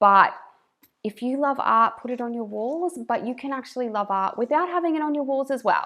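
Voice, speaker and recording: Speaking at a fairly quick pace, a woman with a strong northern Australian accent has a high pitch, a bright, sharp tone and ordinary pitch variation. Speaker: YouTuber, stay-at-home mum. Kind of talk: casual reaction commentary. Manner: animated, talks with hands; careful enunciation.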